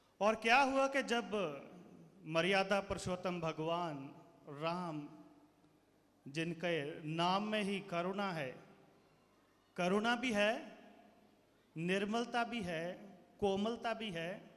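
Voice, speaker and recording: Audible room echo surrounds a man's high-pitched voice with ordinary pitch variation. He leaves long, frequent pauses. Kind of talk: speech to school audience. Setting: stage with audience.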